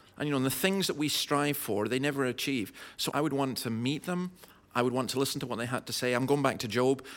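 Speaking at a fairly quick pace with a Scottish Highland accent, a man keeps a medium pitch and ordinary pitch variation. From Scottish Highlands. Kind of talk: live podcast interview. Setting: live audience.

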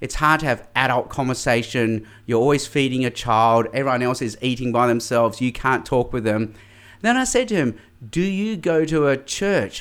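On a very clean recording with a silent background, a man speaks at a moderate pace and medium pitch, with ordinary pitch variation. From Australia, mainly Sydney. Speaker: evangelist and public speaker. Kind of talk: interview.

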